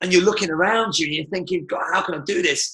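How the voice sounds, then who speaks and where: Speaking very fast with a British accent, a man uses a high pitch, a bright, sharp, animated tone and ordinary pitch variation. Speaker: martial arts business coach. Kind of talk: webinar presentation. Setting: live webinar.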